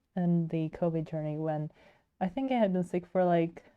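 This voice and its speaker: A woman speaks with a Swedish accent at a fairly low pitch. Her tone is dark and mellow, and her intonation fairly even. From Sweden. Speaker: digital artist streamer. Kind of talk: casual chat while livestreaming. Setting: livestream.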